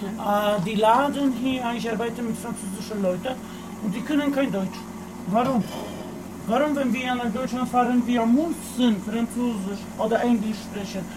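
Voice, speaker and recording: Noticeable background noise and audible room echo surround a man with an extremely high pitch. He speaks at a fairly slow pace with fairly even intonation. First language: Polish (speaking German). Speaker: tobacco shop worker. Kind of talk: casual chat. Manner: halting.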